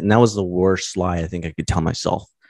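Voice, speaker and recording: Over a quiet background, a man with a very deep, low pitch talks at a fairly quick pace in a dry, close sound with no echo. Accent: American. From US West Coast, Los Angeles County, California. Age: 30s. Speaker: engineer and YouTuber in recovery from alcohol. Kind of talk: casual interview.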